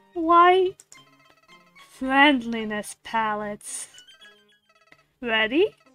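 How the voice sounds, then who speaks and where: A woman's put-on character voice, menacing, very slow, with very wide pitch swings and faint music in the background. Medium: game stream. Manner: saccharine turning menacing.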